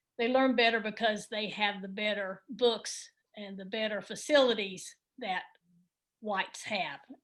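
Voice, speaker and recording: A woman's unremarkable speaking voice, fairly high in pitch, at a fairly slow pace with fairly even intonation and big swings in loudness. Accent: American. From Texas (Midland). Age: 60s. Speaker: book study participant. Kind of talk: casual group discussion.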